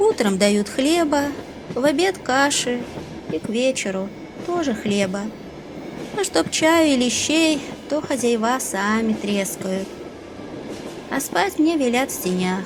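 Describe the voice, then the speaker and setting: A woman's high voice at a very slow pace, with very wide pitch swings, long, frequent pauses, and noticeable background noise. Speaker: audiobook narrator. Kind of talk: audiobook reading of a classic short story.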